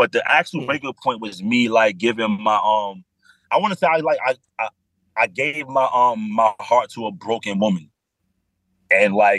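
With a New York accent, a man speaks at medium pitch and a moderate pace, his intonation lively and the sound dry and close with no echo. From New York, the Bronx. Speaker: adult film performer. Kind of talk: casual chat.

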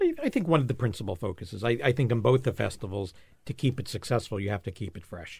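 A man's somewhat breathy, medium-pitched voice at a very fast pace. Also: ordinary pitch variation. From New York, Long Island, then Florida. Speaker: food festival founder. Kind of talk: casual interview. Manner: animated.

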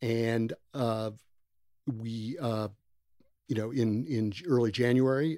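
This man has a normal speaking voice, an American accent, medium pitch and fairly even intonation, in a very clean recording with a silent background. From US. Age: 60s. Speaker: nonprofit founder, former construction executive. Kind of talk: casual interview.

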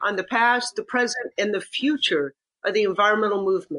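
A normal speaking voice from a woman, fairly high in pitch, with ordinary pitch variation. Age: 60s. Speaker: environmental leader. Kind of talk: interview.

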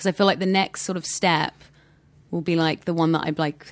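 A woman at a fairly quick pace, her intonation fairly even. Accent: British. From southern England. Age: 20s. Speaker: actress. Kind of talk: casual chat.

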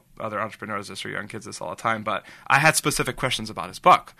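Over a quiet background, a man with an American accent talks at a very fast pace in a bright, sharp tone. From Los Angeles, San Fernando Valley. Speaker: entrepreneur, ad agency founder. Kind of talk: interview, personal storytelling. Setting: studio, in person. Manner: halting, many fillers and repetitions.

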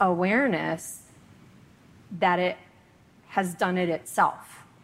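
A woman's medium-pitched voice at a fairly slow pace, an unremarkable speaking voice. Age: 40s. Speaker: retreat participant. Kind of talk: Q&A at a retreat.

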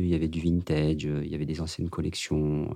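This man talks at a moderate pace with a dark, mellow tone. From France, Paris suburbs. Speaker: fashion designer. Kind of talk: casual chat. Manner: halting.

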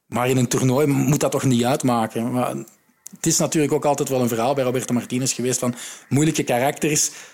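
Speaking in a Flemish accent at a very fast pace, a man keeps a medium pitch, fairly even intonation and very even loudness. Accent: Flemish Dutch. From Flanders, Belgium. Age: 30s. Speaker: football podcast host and sports journalist. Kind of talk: casual chat.

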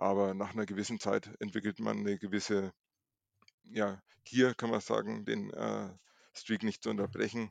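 Long pauses come often as this man talks at a moderate pace. No echo colors the dry, close sound. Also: quiet background. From Franconia, Nuremberg. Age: 40s. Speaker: streak runner. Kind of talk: casual interview.

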